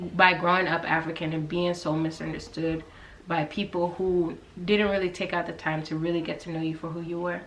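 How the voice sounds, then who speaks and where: A woman with a fairly low pitch speaks at a fairly quick pace amid audible room echo and noticeable background noise. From US South, Georgia. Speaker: YouTuber, guest. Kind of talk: casual chat.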